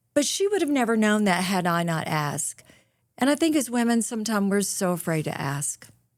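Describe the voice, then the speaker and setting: On a very clean recording with a silent background, a woman with an American accent speaks at a fairly quick pace and a fairly high pitch, her voice making very wide pitch swings. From US South, rural North Mississippi. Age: 60s. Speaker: author and motivational speaker. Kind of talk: podcast interview. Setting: studio. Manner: animated.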